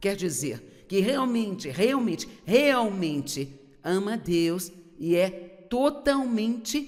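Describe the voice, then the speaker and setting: The speaker talks at a very slow pace, with pitch that swings very widely. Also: woman, medium pitch for a woman. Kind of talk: sermon.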